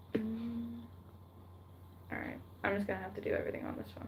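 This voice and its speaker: The words come at a moderate pace with noticeable background noise behind them. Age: 18. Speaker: livestreamer reading creepypastas. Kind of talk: casual livestream chat. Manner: hesitant, many fillers.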